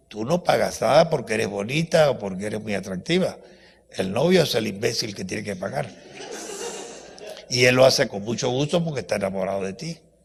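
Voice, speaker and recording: Over noticeable background noise, a man with a medium pitch talks at a fairly quick pace in an animated tone, with very wide pitch swings and long, frequent pauses. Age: 80s+. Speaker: professor. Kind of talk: lecture.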